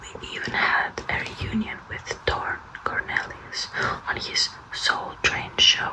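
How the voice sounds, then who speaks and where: Whispered words come at a very slow pace, with noticeable background noise around them. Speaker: ASMR content creator. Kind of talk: audiobook-style reading, whispered. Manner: nervous, awkward, soft-spoken.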